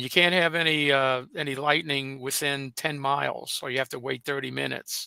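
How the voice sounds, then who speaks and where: In a very clean recording with a silent background, a man speaks at a moderate pace in a fairly high pitch with a bright, sharp tone and monotone, flat intonation, the sound dry and close with no echo. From New Orleans, Louisiana. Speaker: weather co-presenter. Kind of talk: live weather coverage.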